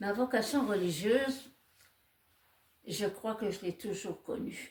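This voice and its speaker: Somewhat breathy, a woman speaks at a very slow pace in a fairly high pitch. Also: ordinary pitch variation. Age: 80s+. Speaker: nun. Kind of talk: testimony.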